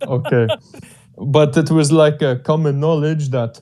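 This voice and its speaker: This man speaks with an Albanian accent and a dark, mellow tone. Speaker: discussion participant. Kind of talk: casual discussion.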